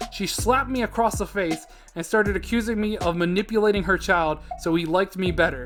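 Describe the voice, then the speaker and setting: A man's high-pitched voice at a very fast pace, ordinary pitch variation, and noticeable background noise. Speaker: YouTube narrator of Reddit stories. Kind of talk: reading aloud Reddit stories. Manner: mumbling at times.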